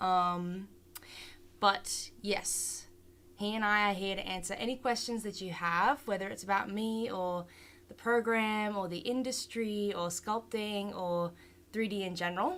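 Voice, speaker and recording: The speaker has an Australian accent and fairly even intonation. The pace is fairly slow. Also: woman, medium pitch for a woman. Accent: Australian, some. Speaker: 3D art instructor. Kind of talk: online class tutorial. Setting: live stream. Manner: casual, hesitant with many fillers.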